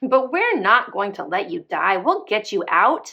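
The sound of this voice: A woman puts on a character voice at a medium pitch, with a bright, sharp tone and vocal fry. Her pitch swings widely as she speaks at a fairly slow pace.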